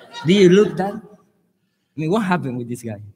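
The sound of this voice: With an Argentine accent, a man talks at a moderate pace and fairly high pitch, his lively intonation carried by a slightly mellow tone with a slightly husky edge. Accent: Argentinian Spanish.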